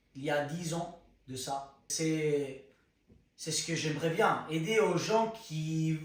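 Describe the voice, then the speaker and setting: Very slowly and in a fairly high pitch, a man speaks with audible room echo around him. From Spain. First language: Spanish (speaking French). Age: 20s. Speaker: content creator. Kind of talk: personal testimony. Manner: halting, searching for words.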